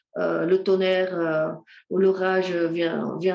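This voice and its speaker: Speaking very slowly, a woman with a Dutch accent talks at a medium pitch. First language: Dutch (speaking French). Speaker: ecotherapy speaker. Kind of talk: lecture. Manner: halting, many hesitations.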